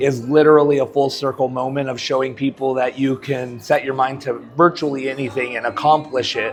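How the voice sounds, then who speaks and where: A man with an American accent talks at a fairly quick pace with hardly any pauses, at a medium pitch. His intonation is monotone and flat, and music plays in the background. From Colorado. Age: 40s. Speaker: professional wrestler. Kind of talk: interview answer. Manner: casual, hesitant.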